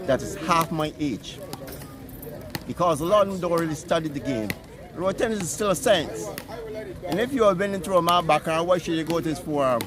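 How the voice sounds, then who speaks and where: Over noticeable background noise, a man talks at a fairly quick pace in a high voice, his intonation lively and broken by long, frequent pauses. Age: 70s. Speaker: road tennis player. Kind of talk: interview.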